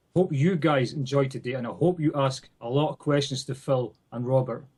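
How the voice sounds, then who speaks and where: A man with a Scottish accent speaks in a somewhat breathy voice at a moderate pace with fairly even intonation. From Scotland. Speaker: event organizer. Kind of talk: remote remarks to audience.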